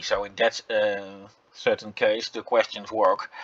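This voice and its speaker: A man in a Dutch accent at a very slow pace, with monotone, flat intonation. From Netherlands. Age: 40s. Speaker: gaming YouTuber. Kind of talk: game commentary. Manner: halting, many fillers.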